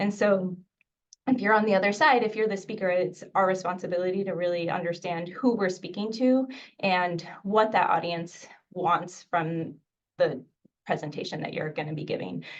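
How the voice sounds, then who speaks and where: A woman with an American accent at a moderate pace, with audible room echo. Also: medium pitch for a woman, ordinary pitch variation. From United States, born in Mexico. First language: Spanish. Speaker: infectious disease physician and professor. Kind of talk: webinar lecture. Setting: video webinar.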